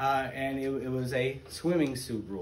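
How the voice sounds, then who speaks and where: A man at a moderate pace over light background noise. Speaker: teacher. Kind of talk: lecture. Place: classroom. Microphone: camera far.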